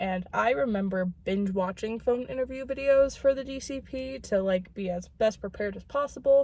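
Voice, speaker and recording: A woman talks at a moderate pace with hardly any pauses. Her fairly high voice has a dark, mellow tone and lively intonation. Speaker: vlogger. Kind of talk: casual vlog. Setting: in a car.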